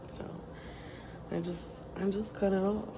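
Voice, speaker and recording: Noticeable background noise accompanies a woman talking at a moderate pace. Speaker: vlogger. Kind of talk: casual vlog chat. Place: home room. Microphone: phone near.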